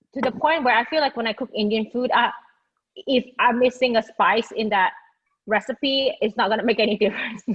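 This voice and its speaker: Words come out at a fairly quick clip. The tone holds fairly level throughout. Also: woman, high pitch for a woman. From Indonesia, then Singapore. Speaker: food blogger, hot sauce judge. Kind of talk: casual interview chat. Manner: halting, many fillers.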